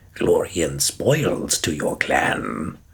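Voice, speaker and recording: Putting on a character voice, a man drops to a very deep, low pitch. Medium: read story. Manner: clipped, broken sentences.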